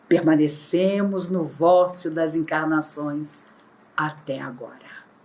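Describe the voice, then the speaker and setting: A woman speaks at a very slow pace with a very deep, low pitch and fairly even intonation. Audible room echo surrounds her voice. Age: 60s. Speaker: spiritist lecturer. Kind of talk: religious lecture. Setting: online, not in person. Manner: formal.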